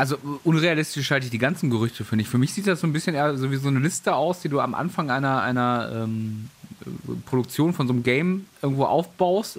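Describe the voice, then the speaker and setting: Against noticeable background noise, a man speaks very fast at a fairly high pitch with ordinary variation. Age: 30s. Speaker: gaming news podcast host. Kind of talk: casual chat. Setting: home office, remote call.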